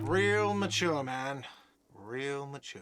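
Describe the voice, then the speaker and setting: Putting on a whiny character voice, a man speaks at a medium pitch. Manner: shouting, complaining, sarcastic.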